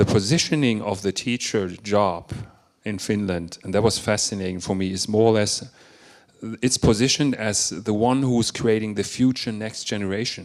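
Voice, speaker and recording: A man with a German accent speaks at a moderate pace in a fairly low pitch with ordinary pitch variation. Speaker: education and marketing speaker. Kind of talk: panel discussion.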